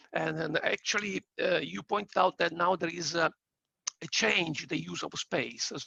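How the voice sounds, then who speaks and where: A man talks with an Italian accent at a fairly slow pace. The sound is dry and close, with no echo. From Italy. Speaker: audience member asking question. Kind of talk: audience question. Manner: hesitant, stammering.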